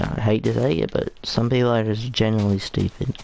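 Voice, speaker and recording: Noticeable background noise behind a man talking at a moderate pace in a fairly low voice. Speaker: gaming livestreamer. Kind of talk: casual livestream chat. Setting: livestream. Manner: halting, many fillers.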